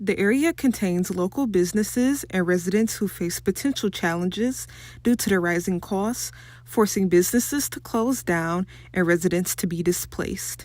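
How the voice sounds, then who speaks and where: In a plain, everyday voice, a woman speaks at a moderate pace and medium pitch with ordinary pitch variation. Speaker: student news reporter. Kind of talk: TV news report.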